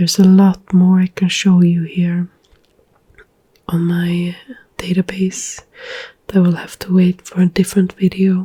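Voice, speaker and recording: The speaker is soft-spoken, talking at a fairly slow pace with long, frequent pauses. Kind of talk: ASMR book chat and screen tour, soft spoken. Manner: soft-spoken, ASMR.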